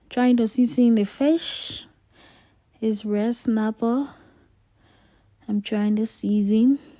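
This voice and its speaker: A woman's fairly high, somewhat breathy voice with a dark, mellow tone, very slow and fairly even, broken by long, frequent pauses. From Liberia. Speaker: home cooking vlogger. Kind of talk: cooking tutorial. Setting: home kitchen. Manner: casual, chatty.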